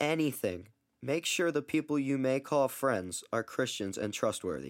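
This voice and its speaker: With an American accent, a man with an unremarkable speaking voice and medium pitch talks at a moderate pace with lively intonation in a very clean recording with a silent background. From US Mid-Atlantic, Baltimore. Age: young. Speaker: student podcaster. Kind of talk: religious testimony monologue.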